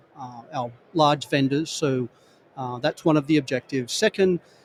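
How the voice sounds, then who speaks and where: With an Australian accent, a man speaks at a moderate pace in a fairly high pitch with ordinary pitch variation, the sound dry and close with no echo. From Australia, rural New South Wales. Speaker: construction industry executive. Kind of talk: podcast interview at trade show. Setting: trade show booth.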